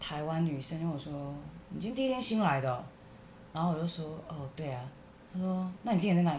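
In a room with audible echo, a somewhat breathy woman talks at a fairly quick pace with lively intonation and big swings in loudness. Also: fairly low pitch for a woman. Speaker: podcast co-host. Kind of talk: casual chat.

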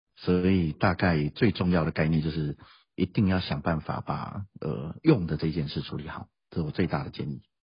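Somewhat breathy, a man talks with very deep, low pitch and fairly even intonation. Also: moderate pace. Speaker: school principal and language teacher. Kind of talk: interview.

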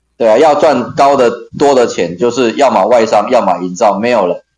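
A man's medium-pitched voice at a fairly quick pace with ordinary pitch variation. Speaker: occupational safety trainer. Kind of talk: casual interview.

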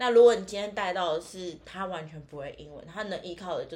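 This woman has an unremarkable speaking voice, medium pitch, and ordinary pitch variation, talking at a fairly quick pace. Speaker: tour leader. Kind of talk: casual chat. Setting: in person, same room.

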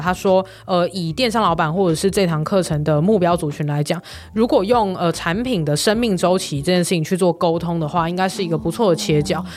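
An unremarkable speaking voice at a fairly quick pace, with ordinary pitch variation and hardly any pauses. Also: woman. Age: 20s. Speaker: online course producer and company founder. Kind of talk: interview.

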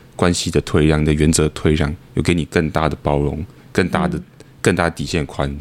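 A man with a very deep, low pitch, monotone and flat in intonation, at a fairly quick pace. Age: 20s. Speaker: company founder. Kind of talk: casual chat.

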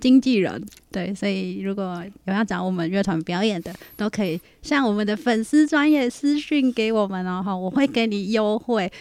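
Medium-pitched woman with lively intonation at a moderate pace. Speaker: band member and podcast co-host. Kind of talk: casual chat. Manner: animated.

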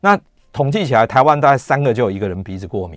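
A man's medium-pitched voice with very wide pitch swings, in a very clean recording with a silent background. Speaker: radio host and gastroenterologist. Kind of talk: health talk radio monologue. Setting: radio studio with YouTube livestream.

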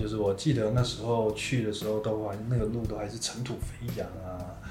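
A man talking at a fairly quick pace, with noticeable background noise and audible room echo. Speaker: podcast host sharing life story. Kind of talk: interview testimony.

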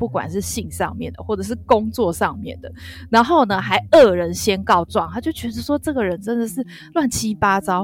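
A woman's medium-pitched voice with vocal fry and very wide pitch swings, at a moderate pace. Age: middle-aged. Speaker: podcast co-host. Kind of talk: casual drama review chat. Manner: hesitant, many fillers.

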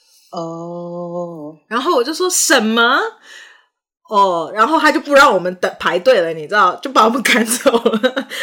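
A woman with a non-native accent speaks at a fairly slow pace, her fairly high pitch swinging very widely. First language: not English (speaking Chinese). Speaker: podcast host and actor. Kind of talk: casual chat.

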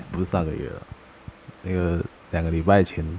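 A man talks at a fairly quick pace in a very deep, low pitch. Noticeable background noise is present. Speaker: podcast co-host. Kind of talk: casual chat. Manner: animated.

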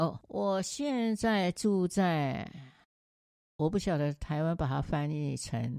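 A woman speaks very slowly in a very deep, low voice with a dark, mellow tone. Her intonation is lively, and the recording is very clean with a silent background. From Taiwan. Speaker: retired teacher living abroad. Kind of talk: interview.

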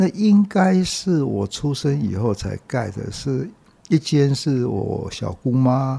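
Somewhat breathy and dark, mellow in tone, the voice moves at a very slow pace with very wide pitch swings. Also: man, medium pitch for a man. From Taiwan, Taipei (Dadaocheng). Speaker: publisher and bookstore owner. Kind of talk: interview, reminiscing.

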